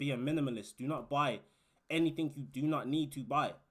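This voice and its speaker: Here a man talks with a British accent at a fairly high pitch. His pace is fairly quick. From UK. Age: 20s. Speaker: warehouse worker and YouTuber. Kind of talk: casual advice vlog. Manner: animated.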